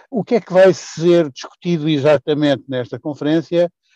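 A man's voice with a dark, mellow tone, in a dry, close sound with no echo. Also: quiet background. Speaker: politician. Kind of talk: interview. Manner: formal.

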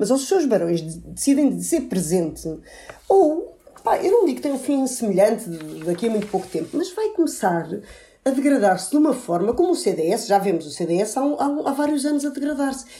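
A woman talks at a moderate pace with a high pitch and very wide pitch swings. Her tone is dark and mellow. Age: young. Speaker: political commentator. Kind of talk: political panel discussion.

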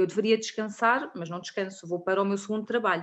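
A woman speaks at a medium pitch with ordinary pitch variation. She has an unremarkable speaking voice. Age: 30s. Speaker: clinical lab technician. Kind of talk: interview.

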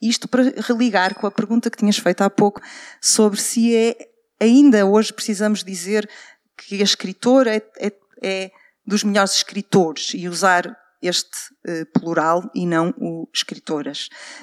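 A woman speaks at a moderate pace with a medium pitch. The sound is dry and close, with no echo. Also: ordinary pitch variation. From Portugal, Porto. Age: 40s. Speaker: journalist and writer. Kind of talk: live panel talk. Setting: stage with audience at literary festival.

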